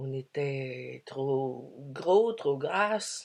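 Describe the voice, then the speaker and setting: The speaker talks in an English accent. The pitch swings very widely. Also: woman. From Quebec, Canada. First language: English (speaking French). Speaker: spiritual speaker. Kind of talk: spiritual talk. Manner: hesitant, many fillers.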